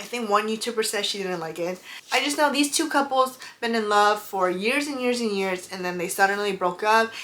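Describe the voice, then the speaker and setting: With a non-native accent, a woman talks at a fairly quick pace, fairly high in pitch with ordinary pitch variation. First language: not English. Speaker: book and beauty YouTuber. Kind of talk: casual vlog chat. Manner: halting, stumbles over names.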